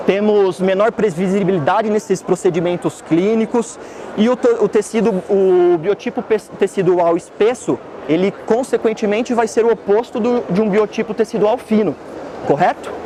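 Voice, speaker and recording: A man's high-pitched voice at a moderate pace, with very even loudness, ordinary pitch variation and noticeable background noise. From Santa Catarina, Brazil (Blumenau). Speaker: dentist. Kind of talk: lecture. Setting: trade fair stand with audience.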